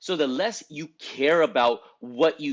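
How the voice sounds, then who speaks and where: Over a quiet background, a man talks in an animated tone at a fairly slow pace. His pitch is fairly high. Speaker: esthetics business coach. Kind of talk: motivational talk to camera.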